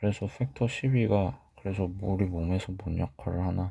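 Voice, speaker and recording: On a very clean recording with a silent background, a man speaks with a very deep, low pitch, a somewhat breathy, dark, mellow tone and fairly even intonation. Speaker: medical educator. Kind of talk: lecture.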